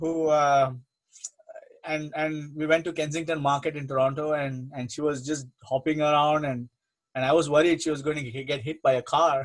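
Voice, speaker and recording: A man with an Indian accent speaks at a moderate pace and fairly high pitch, his intonation monotone and flat. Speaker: spiritual teacher. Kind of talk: religious talk, Q&A. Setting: online program.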